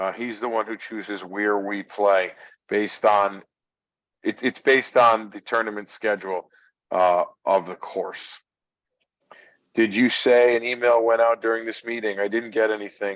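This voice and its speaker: A man talks at a moderate pace with long, frequent pauses. His pitch sits fairly low, and his intonation is monotone and flat. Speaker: golf director. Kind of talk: informational session Q&A. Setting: video call. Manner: loud.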